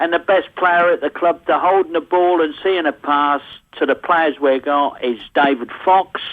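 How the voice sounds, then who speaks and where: Here a man speaks with a Norfolk accent. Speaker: football fan. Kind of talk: radio phone-in call.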